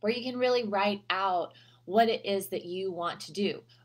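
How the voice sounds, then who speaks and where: The woman's voice carries ordinary pitch variation. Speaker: health coach. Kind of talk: casual advice vlog. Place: home room. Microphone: webcam.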